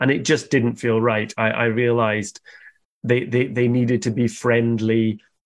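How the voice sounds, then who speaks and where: A man with a medium pitch talks with a Scottish accent. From Scotland, countryside. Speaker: cartoonist and illustrator. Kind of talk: interview.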